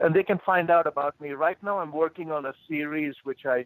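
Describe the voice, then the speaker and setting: Speaking at a moderate pace, a man with an Indian accent talks in a fairly high voice. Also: dry, close sound with no echo. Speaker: motivational speaker and executive coach. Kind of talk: interview conversation.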